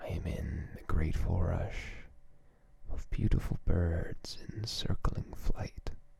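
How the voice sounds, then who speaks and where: A man whispers in a gentle tone at a very slow pace. Noticeable background noise can be heard. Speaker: ASMR creator. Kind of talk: ASMR poetry reading. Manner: slow, gentle, hushed.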